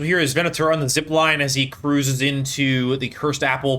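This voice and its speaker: This man's tone is bright and sharp. He speaks at a medium pitch. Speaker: video game commentator. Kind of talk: gameplay commentary. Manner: animated.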